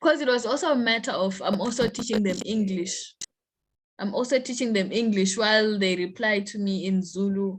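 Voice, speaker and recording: A woman talks at a moderate pace with a fairly high, somewhat breathy voice. Her pitch variation is ordinary. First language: Shona. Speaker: university student, poet. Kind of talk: interview conversation.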